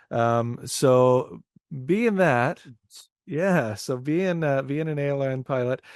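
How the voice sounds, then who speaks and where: A man with a Canadian accent, his voice fairly high-pitched, his pace very slow and his pitch variation ordinary. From Canada, Windsor, Ontario. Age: 30s. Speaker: indie rock musician. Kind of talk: casual interview chat.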